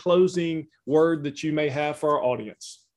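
Speaking at a moderate pace against a quiet background, a man with a fairly high-pitched voice talks in a Southern US accent. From Louisiana. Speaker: ministry host. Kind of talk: interview conversation.

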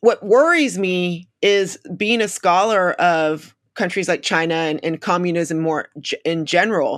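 An unremarkable speaking voice with an American accent, a fairly slow pace, hardly any pauses and ordinary pitch variation, in a very clean recording with a silent background. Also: woman, fairly low pitch for a woman. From United States. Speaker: author and international relations scholar. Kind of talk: interview.

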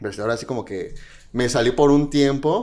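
This man has a medium pitch. He speaks at a very fast pace. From Mexico. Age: 20s. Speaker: drag queen. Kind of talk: casual chat.

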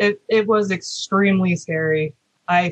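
A woman's somewhat breathy voice sits at a medium pitch. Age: 30s. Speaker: engineering student and former retail manager. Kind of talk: interview.

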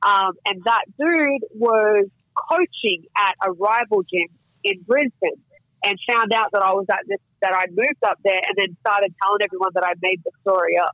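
A woman with an Australian accent, medium pitch, moderate pace and very even loudness. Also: ordinary pitch variation. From Australia (Queensland). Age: 30s. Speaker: mixed martial arts fighter. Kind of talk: casual chat.

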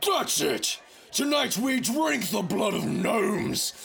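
Over clear background noise, a man puts on a character voice at an extremely high pitch and a fairly slow pace. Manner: aggressive, blustering.

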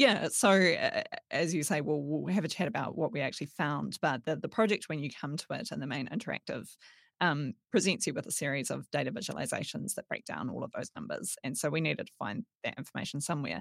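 Very fast and with lively intonation, a woman with a New Zealand accent speaks at a very deep, low pitch with vocal fry, on a very clean, dry, close recording with no echo and a silent background. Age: 30s. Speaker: data journalist. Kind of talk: casual chat.

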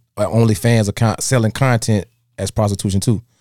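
A man with a dark, mellow tone talks at a moderate pace and a medium pitch. His intonation is fairly even, and the recording is very clean with a silent background. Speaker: podcast host. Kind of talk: casual banter, podcast chat. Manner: laid-back, joking, profane.

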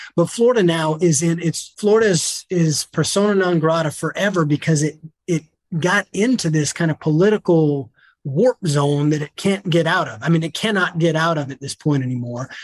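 A man with an American accent speaks at a moderate pace, using a normal speaking voice. His pitch is fairly high with ordinary variation, and the sound is dry and close with no echo. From US South. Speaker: attorney and COVID data analyst. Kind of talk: casual interview.

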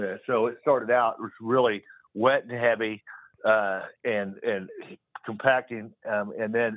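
An unremarkable speaking voice from a man with an American accent, medium pitch, fairly even intonation, and a moderate pace. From Kansas, US Midwest. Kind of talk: casual call-in chat. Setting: phone call.

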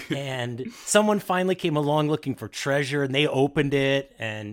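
An unremarkable speaking voice at a moderate pace with lively intonation. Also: man. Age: 40s. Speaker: podcaster and improv performer. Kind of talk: casual chat.

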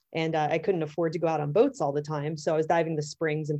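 A woman with an American accent has a very deep, low pitch and a dark, mellow tone, delivered in a monotone, flat intonation. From US, Pittsburgh, Pennsylvania. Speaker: underwater photographer and technical diver. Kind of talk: interview.

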